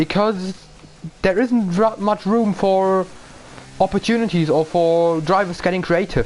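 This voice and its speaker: A man speaks in a German accent at a high pitch. His loudness stays very even. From Germany. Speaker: sim racing commentator. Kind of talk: live commentary. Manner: animated.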